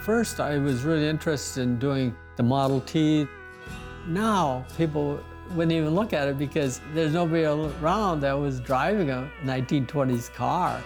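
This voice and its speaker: Fairly high male speech in an American accent with music in the background, at a moderate pace, with ordinary pitch variation and very even loudness. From Montana. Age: 80s+. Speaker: pencil artist, former rancher. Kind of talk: interview answer.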